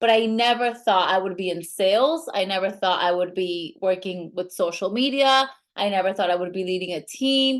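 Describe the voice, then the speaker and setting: A woman with a Latin American accent, at a moderate pace with hardly any pauses, medium in pitch with ordinary pitch variation. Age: 30s. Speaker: network marketing leader. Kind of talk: sales pitch.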